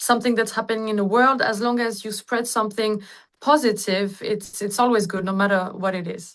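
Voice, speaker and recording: Against a quiet background, a woman talks at a fairly quick pace in a fairly high pitch with fairly even intonation, an ordinary speaking voice. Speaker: singer. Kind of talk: interview answer. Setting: video call.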